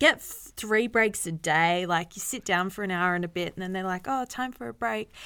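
Her tone is bright and sharp, with lively intonation at medium pitch and moderate pace. The woman is recorded very cleanly against a silent background. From Newcastle, Australia. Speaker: podcast co-host. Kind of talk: casual chat.

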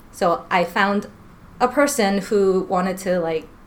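Lively intonation from a woman, with noticeable background noise. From New York. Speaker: school counselor. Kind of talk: casual interview. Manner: laughing often.

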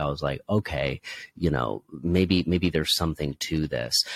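A man's very deep, low voice carries vocal fry. The sound is dry and close with no echo, on a very clean recording with a silent background. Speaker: podcaster. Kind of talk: interview.

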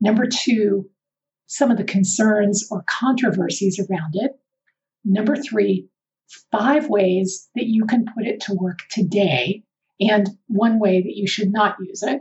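A woman's somewhat breathy, medium-pitched voice with ordinary pitch variation at a fairly slow pace. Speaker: podcast host and behavioral scientist. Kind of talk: solo educational podcast.

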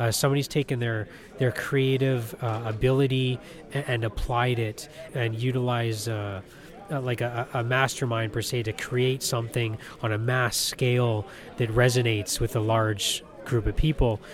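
A man's flat, monotone delivery at medium pitch and moderate pace, with noticeable background noise. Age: 30s. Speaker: toy collector. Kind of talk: interview.

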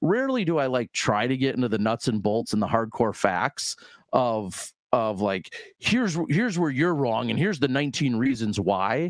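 The voice carries a Midwestern US accent. Its loudness stays very even against a quiet background. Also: man, medium pitch for a man, lively intonation, moderate pace. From US Midwest. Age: 40s. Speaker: disc golf commentator. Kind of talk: casual interview.

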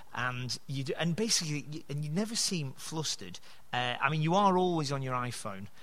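A man with a fairly high pitch speaks fairly quickly with lively intonation. Audible room echo and noticeable background noise are present. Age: 30s. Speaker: podcast host. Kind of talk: casual chat. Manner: halting.

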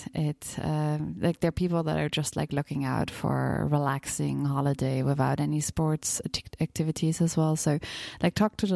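A woman with a German accent at a moderate pace, in a dry, close sound with no echo. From Bavaria, Germany. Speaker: travel podcast guest. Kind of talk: casual interview.

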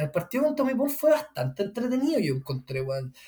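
A man speaks with a Chilean accent. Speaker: tennis podcast co-host. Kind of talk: casual chat.

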